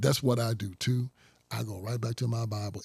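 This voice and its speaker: This man's voice is somewhat breathy and medium in pitch. He moves at a fairly quick pace with ordinary pitch variation. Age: 60s. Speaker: conservative activist and author. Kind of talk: interview. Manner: animated.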